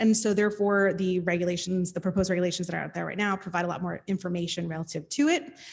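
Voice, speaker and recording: Here a woman talks in an American accent. Her intonation stays fairly even. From New Jersey. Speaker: state outreach and enforcement official. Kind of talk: panel presentation. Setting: panel with live audience. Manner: loud.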